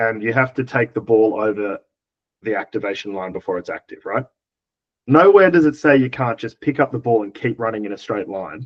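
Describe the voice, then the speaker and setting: Speaking at a fairly quick pace, a man with an Australian accent uses lively intonation. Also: medium pitch for a man. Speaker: dodgeball player and coach. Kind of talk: casual podcast chat.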